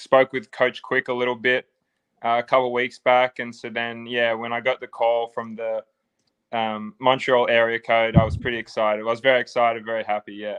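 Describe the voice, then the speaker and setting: With an Australian accent, a man speaks in a medium pitch and monotone, flat intonation, the sound dry and close with no echo. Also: fairly quick pace, quiet background. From Australia, Sydney. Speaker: football player. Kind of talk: interview.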